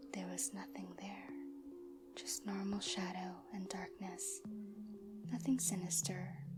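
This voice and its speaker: A soft-spoken woman whispers at a very slow pace. Music can be heard behind her. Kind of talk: ASMR horror story reading, soft-spoken. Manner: soft-spoken, whispered.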